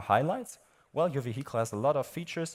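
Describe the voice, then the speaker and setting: A man speaks with a German accent. His intonation is lively. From Germany. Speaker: AI product specialist. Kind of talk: live product demo. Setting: stage with audience.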